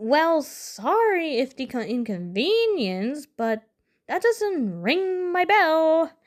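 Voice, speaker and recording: Putting on a character voice, a woman speaks very slowly at an extremely high pitch, her pitch swinging very widely. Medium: read story. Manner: nervous, hesitant.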